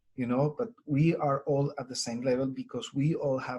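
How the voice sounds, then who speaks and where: A man with a strong Colombian accent talks at a fairly slow pace in a medium pitch. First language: Spanish. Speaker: Spanish teacher. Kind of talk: webinar presentation. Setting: online webinar recording.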